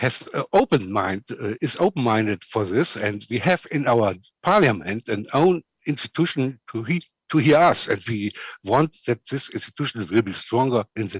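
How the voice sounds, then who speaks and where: A man with a German accent talks at a moderate pace and medium pitch, with very wide pitch swings. The recording is very clean, with a silent background and a dry, close sound with no echo. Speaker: civil society network representative. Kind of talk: panel discussion. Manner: halting.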